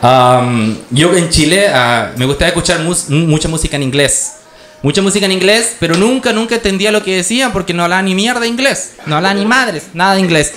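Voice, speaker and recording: A man speaks with a high pitch and very wide pitch swings. His pace is fairly quick over light background noise. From Chile. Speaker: stand-up comedian. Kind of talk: live stand-up comedy set. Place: stage. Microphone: handheld.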